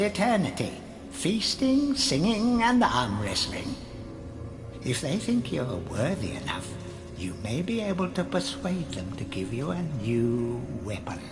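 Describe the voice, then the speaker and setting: A put-on character voice at a low-to-middle pitch moves at a fairly slow pace through clear echo and loud background noise. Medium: game stream. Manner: solemn, portentous.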